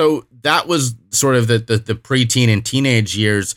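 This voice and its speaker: A man with a normal speaking voice, fairly even intonation and a fairly slow pace, in a dry, close recording with no echo, very clean with a silent background. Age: 30s. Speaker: recovery speaker and podcaster. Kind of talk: interview.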